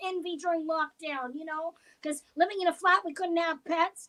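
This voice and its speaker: A woman's raised, projected voice comes through at an extremely high pitch, bright and sharp in tone, at a fairly quick pace, in a dry, close recording with no echo. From Canada. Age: 50s. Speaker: comedian. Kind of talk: stand-up. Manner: animated.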